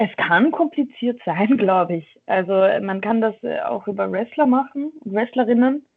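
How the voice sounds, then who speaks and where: A woman speaks fairly slowly, her intonation lively. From Austria, Vienna. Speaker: professional wrestler. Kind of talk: casual interview. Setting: remote call from a dojo office.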